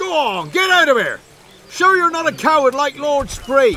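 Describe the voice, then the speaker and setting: A man uses a gruff, put-on character voice at a moderate pace. Clear music plays in the background. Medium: video game. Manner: gruff, mocking.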